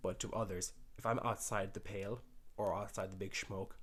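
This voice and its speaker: The speaker talks at a fairly quick pace in a rural Irish accent. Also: man. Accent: Irish country. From rural Ireland. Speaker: dating commentator. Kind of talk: video reaction commentary. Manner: animated.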